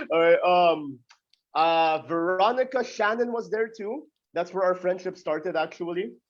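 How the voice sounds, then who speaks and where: A loud man talks at a high pitch. He keeps a moderate pace with ordinary pitch variation. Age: 20s. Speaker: pro wrestler. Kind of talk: interview.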